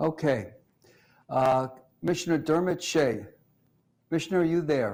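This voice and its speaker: A man's fairly high voice with ordinary pitch variation, a moderate pace, long, frequent pauses and audible room echo. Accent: American. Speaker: police research forum director, host. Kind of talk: video town hall moderation. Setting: video call from office.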